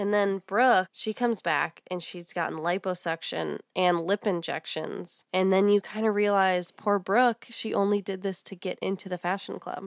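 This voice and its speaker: A woman with an American accent and an unremarkable speaking voice talks at a moderate pace and a medium pitch, with fairly even intonation and hardly any pauses, in a very clean recording with a silent background. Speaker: podcast host. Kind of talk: casual chat.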